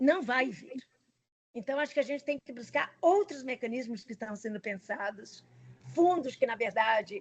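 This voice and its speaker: This is a woman speaking. Her pitch is high. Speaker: climate scientist. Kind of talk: Q&A answer in online lecture. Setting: video call.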